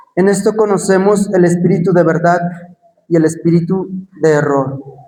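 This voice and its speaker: Audible room echo surrounds a man speaking at a high pitch and a moderate pace. His intonation is fairly even and his loudness very even. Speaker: preacher. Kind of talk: sermon.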